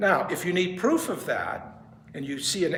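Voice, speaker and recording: Lively intonation marks a man speaking at a moderate pace, with audible room echo and noticeable background noise. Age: 70s. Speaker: pianist and music professor. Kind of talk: lecture. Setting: music store presentation with audience. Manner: casual, joking.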